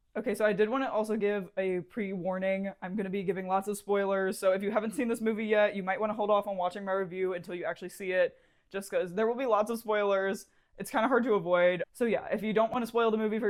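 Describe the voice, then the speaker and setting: The woman talks at a very fast pace. Her pitch is medium. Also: hardly any pauses. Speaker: beauty and movie review vlogger. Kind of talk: casual makeup tutorial and movie review vlog. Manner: animated.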